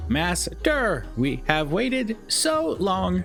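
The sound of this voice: Over clear background music, a man talks very slowly in a put-on character voice.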